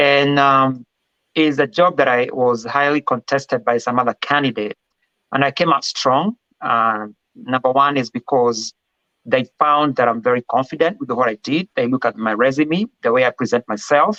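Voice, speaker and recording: At a moderate pace and medium pitch, a man with a Kenyan accent speaks in a bright, sharp tone with ordinary pitch variation and very even loudness, the sound dry and close with no echo. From Kenya, Kiambu County. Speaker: respiratory therapy director. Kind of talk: interview. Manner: confident.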